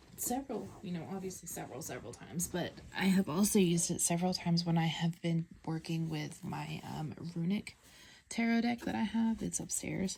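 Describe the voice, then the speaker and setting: A woman with an American accent, fairly low pitch, a dark, mellow, somewhat breathy tone, lively intonation and a fairly quick pace. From US South. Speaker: tarot deck reviewer. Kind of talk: casual show-and-tell video. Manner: hesitant, many fillers.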